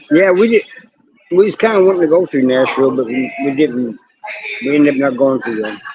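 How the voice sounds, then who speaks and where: With an American accent, a man speaks at a fairly quick pace with lively intonation, broken by long, frequent pauses. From southern Missouri. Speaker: YouTube live streamer. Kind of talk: casual live-stream chat with viewers. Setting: live stream.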